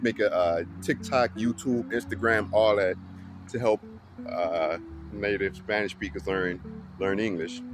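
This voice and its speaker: Speaking at a moderate pace, a man with a fairly low pitch keeps his intonation fairly even. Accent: New Orleans. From US South, New Orleans, Louisiana. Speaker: English teacher for Spanish speakers. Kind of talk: casual talk to camera. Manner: casual, many fillers and restarts.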